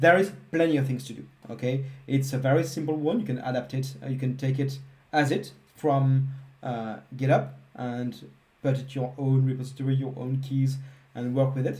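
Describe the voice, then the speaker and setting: A man with a French accent speaks in a somewhat breathy, monotone voice at a medium pitch and moderate pace, with audible room echo. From France. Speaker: software engineer, live coding presenter. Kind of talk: live coding stream wrap-up. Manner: casual, with hesitations.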